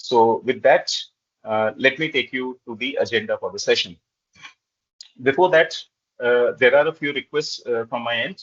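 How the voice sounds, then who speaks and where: Long, frequent pauses break up a man's speech. Between them, his pace is moderate. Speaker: corporate trainer. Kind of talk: webinar presentation. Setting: video call. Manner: hesitant, frequent filler 'uh'.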